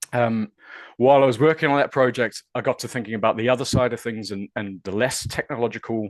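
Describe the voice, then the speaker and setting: Speaking at a very fast pace, a man with a New Zealand accent uses a medium pitch with ordinary pitch variation. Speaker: university research fellow. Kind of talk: webinar presentation. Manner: hesitant, many fillers.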